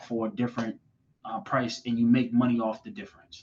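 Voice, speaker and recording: With an American accent, a man talks in a plain, everyday voice. His pitch variation is ordinary. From Boston, Massachusetts. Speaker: finance manager. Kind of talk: podcast interview answer.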